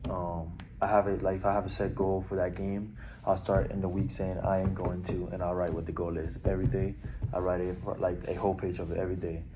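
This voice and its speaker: With audible room echo, a man with a very deep, low pitch talks at a fairly quick pace and a fairly even intonation. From Puerto Rico, then Orlando, Florida from age 11. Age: 20s. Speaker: college baseball player. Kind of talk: interview. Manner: hesitant, many fillers.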